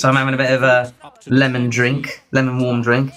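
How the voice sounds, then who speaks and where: This man talks in a British accent. He keeps to a moderate pace. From Britain. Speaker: Eurovision livestream host. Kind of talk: live watchalong chat. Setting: livestream. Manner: quieter than usual.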